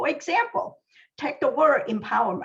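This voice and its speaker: A woman speaks with a Chinese accent. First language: Mandarin Chinese. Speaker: library science professor. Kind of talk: scripted presentation. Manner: formal.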